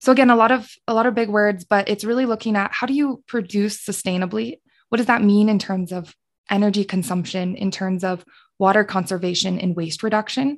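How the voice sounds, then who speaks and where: In a quiet background, a woman with an American accent speaks at a medium pitch in an ordinary speaking voice. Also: ordinary pitch variation, fairly quick pace. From Colorado. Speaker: sustainability specialist and former podcast co-host. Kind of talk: casual interview.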